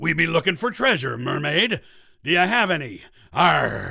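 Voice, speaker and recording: The speaker is a man doing a put-on character voice. He pitches it high. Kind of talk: gruff, nautical.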